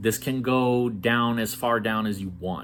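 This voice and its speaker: Vocal fry from a man at a fairly slow pace. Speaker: networking educator. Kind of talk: tutorial.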